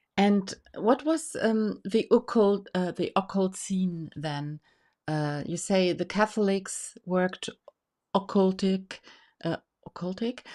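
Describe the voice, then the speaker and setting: A woman speaks at a very slow pace with a German accent. Her tone is dark and mellow, in a very clean recording with a silent background. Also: medium pitch for a woman, ordinary pitch variation. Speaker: tarot association host. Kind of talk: interview. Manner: halting.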